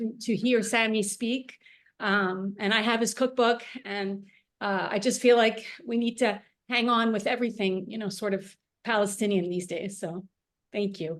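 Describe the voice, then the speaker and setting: A woman with an American accent talks at a moderate pace, her fairly high pitch held in fairly even intonation. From United States. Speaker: cookalong participant. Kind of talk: casual chat. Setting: video call. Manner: halting, many fillers.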